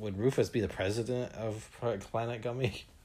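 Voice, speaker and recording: A man's fairly low, somewhat breathy voice with a playful tone. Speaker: podcast host. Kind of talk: casual interview with a child and puppets. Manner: playful, joking.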